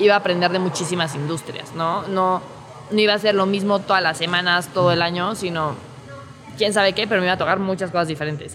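With a Mexico City accent, a woman talks at a very fast pace in a fairly low voice, with music in the background and audible room echo. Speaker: startup employee. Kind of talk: interview testimony. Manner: formal.

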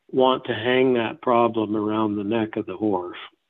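A man with an American accent talks in a plain, everyday voice. His pitch is medium and his pace fairly slow. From Northern California (Eureka). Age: 50s. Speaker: horse trainer and clinician. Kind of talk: interview. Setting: remote interview, on the line.

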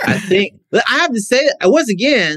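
This man speaks with an American accent, and the sound is dry and close with no echo. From US South, Mississippi. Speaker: podcast guest. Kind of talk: casual chat.

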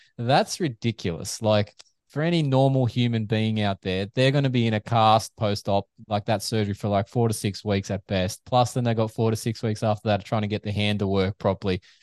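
A man's fairly low voice with an Australian accent, at a fairly quick pace and fairly even intonation, with a dry, close sound with no echo. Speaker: physiotherapist and motocross media figure. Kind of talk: casual chat.

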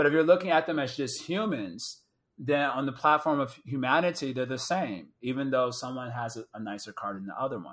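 Lively intonation and big swings in loudness mark this man's American accent at a medium pitch. He speaks at a fairly quick pace on a very clean recording with a silent background. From Chicago area, US Midwest. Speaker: spiritual teacher. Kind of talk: casual chat.

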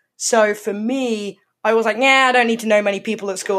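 A woman talks with fairly even intonation. The recording is very clean, with a silent background. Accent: southern English. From England, Surrey near London. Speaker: music magazine editor. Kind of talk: interview.

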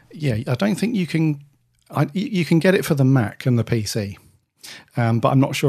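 With lively intonation and a somewhat breathy quality, a man speaks fairly fast. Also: quiet background. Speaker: podcast host. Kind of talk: casual chat.

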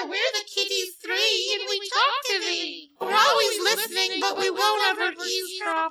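The speaker does a put-on character voice with extremely high pitch. The pace is moderate. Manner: playful, sing-song.

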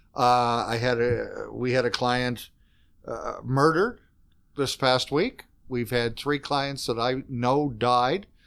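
At a very slow pace, a man talks with an Eastern Canadian accent. His pitch is medium and his intonation fairly even. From Canada, Fredericton, New Brunswick. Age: 60s. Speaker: executive director of a social services organization. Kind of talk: casual interview chat.

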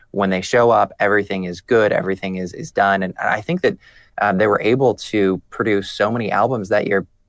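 A man speaks in a normal speaking voice at a moderate pace, his fairly low pitch held in fairly even intonation over a quiet background. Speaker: political journalist. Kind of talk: casual chat.

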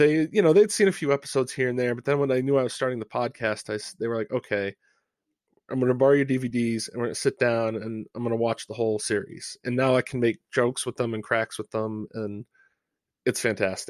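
A man with an American accent talks very fast at a medium pitch with ordinary pitch variation, recorded very cleanly against a silent background with a dry, close sound and no echo. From Rhode Island, US. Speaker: fan podcast co-host. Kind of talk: casual interview chat.

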